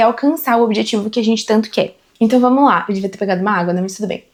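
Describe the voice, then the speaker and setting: A woman speaks at a very fast pace. Her pitch is fairly high, with ordinary variation. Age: 20s. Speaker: corporate team leader and content creator. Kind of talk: casual talk to camera about career. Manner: conversational, animated.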